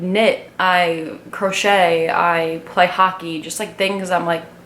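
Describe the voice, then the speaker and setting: A woman speaks at a medium pitch in an American accent, fairly slowly and with ordinary pitch variation. The room echo is audible, and background noise is noticeable. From Long Island, New York. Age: 20s. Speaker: vlogger. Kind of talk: casual get-to-know-me vlog monologue. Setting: talking to a camera alone.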